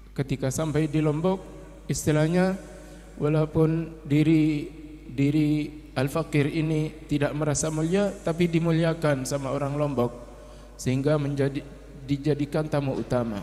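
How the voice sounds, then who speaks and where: This man has a fairly high voice and a non-native accent, talking at a moderate pace with very even loudness and fairly even intonation. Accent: non-fluent Indonesian. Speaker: Islamic religious teacher. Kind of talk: religious sermon. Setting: Islamic boarding school gathering. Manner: halting.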